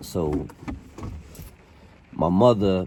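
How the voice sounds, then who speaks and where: A man talks with a Boston accent. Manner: casual, rambling.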